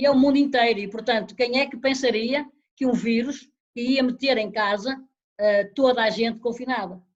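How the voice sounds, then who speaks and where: A woman speaks at a moderate pace with a high pitch. Her intonation is fairly even. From Portugal, Guimarães. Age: 60s. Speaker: retired long-distance runner. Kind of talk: interview.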